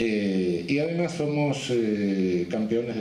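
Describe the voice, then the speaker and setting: A man's pitch varies in an ordinary way, with noticeable noise in the background. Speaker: criminologist, jurist and supreme court judge giving a congress lecture. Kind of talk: academic conference lecture.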